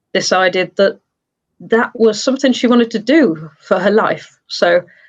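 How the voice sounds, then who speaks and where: A woman in an English Midlands accent talks at a fairly slow pace with ordinary pitch variation. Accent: British (English Midlands). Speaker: glassblower and studio owner. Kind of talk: interview.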